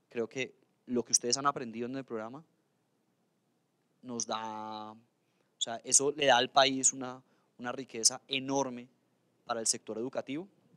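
A man with a medium pitch talks at a moderate pace in a flat monotone, his tone bright and sharp, with long pauses coming often. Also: quiet background. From Colombia, Cali (Valle del Cauca); Colombia. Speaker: government official. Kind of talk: official speech. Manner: halting, many fillers. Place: hall. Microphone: handheld.

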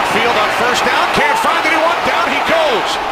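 The speech moves at a fairly slow pace over loud background noise. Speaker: play-by-play announcer. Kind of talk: live sports commentary, play-by-play. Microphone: headset.

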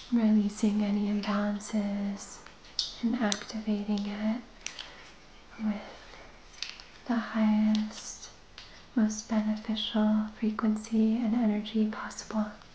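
A soft-spoken woman with a gentle tone, very even loudness, and monotone, flat intonation, at a very slow pace with long, frequent pauses, plus audible room echo and light background noise. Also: fairly high pitch for a woman. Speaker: Reiki practitioner and meditation guide. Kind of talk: guided meditation. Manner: soft-spoken, gentle. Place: home room.

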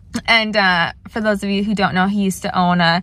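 A woman speaks at a moderate pace with fairly even intonation. The sound is dry, with no echo. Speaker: plant channel vlogger. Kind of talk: casual vlog chat. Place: car. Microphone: phone near.

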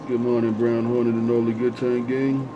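A man talks in a monotone, flat intonation over noticeable background noise. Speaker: CB radio operator. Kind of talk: radio chatter. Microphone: two way radio.

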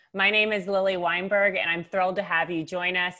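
A woman speaks with ordinary pitch variation over a quiet background. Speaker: webinar host. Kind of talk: show host introduction. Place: home room. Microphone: earbuds.

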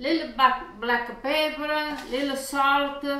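Heard in strong room echo, a woman speaks slowly with a high pitch, a bright, sharp tone and fairly even intonation.

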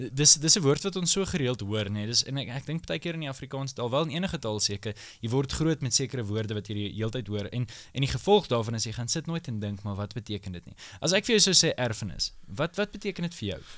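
A man's medium-pitched voice with very wide pitch swings, over a quiet background. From South Africa. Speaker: podcast host. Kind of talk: panel discussion. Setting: studio. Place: studio. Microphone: studio mic.

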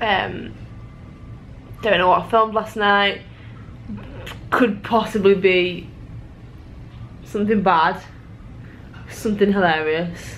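Drawling with fairly even intonation and long, frequent pauses, a woman speaks over light background noise. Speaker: vlogger. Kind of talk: casual vlog chat. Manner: groggy, slow, hungover drawl. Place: home room. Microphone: phone near.

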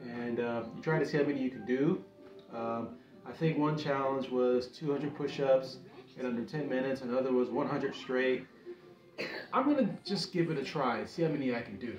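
Clear music plays in the background as the speech, with ordinary pitch variation, goes at a moderate pace amid audible room echo. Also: man. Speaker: home fitness vlogger. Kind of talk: casual vlog chat. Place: home room.

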